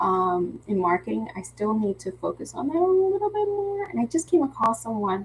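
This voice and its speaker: Noticeable background noise runs under a woman talking in an American accent. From Philadelphia, US. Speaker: craft teacher and live-stream host. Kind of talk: casual live craft-along chat. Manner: chatty, with false starts and repetitions.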